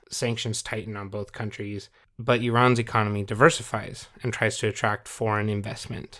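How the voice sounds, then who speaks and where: In a very clean recording with a silent background, a man with an American accent speaks at a moderate pace in a fairly low pitch, his intonation flat and monotone. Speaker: history podcast co-host. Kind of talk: casual history podcast explanation.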